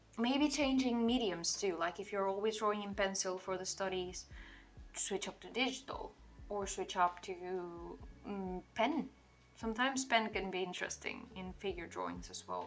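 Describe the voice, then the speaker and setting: A woman speaks in a medium pitch at a moderate pace, with ordinary pitch variation. Music plays in the background. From Portugal. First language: Portuguese. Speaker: digital artist streamer. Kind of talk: casual livestream chat while drawing. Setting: livestream.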